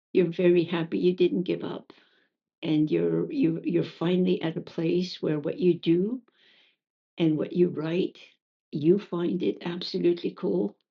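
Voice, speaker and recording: A woman talks at a fairly slow pace in a fairly low voice with vocal fry. Her pitch moves up and down in an ordinary way. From Acadian New Brunswick, Canada. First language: French. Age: 70s. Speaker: poet. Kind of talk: interview conversation. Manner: halting, many fillers and repetitions.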